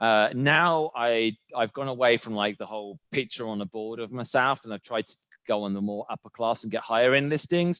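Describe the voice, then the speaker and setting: In a British accent, a man speaks at a moderate pace and medium pitch, his tone bright and sharp. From UK. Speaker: real estate agent. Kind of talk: interview.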